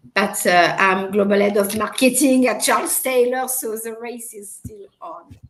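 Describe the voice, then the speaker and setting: A woman's fairly high voice, fairly slow, with big swings in loudness. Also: ordinary pitch variation, hardly any pauses. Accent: French. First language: French. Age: 50s. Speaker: marketing executive. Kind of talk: interview. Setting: live video stream.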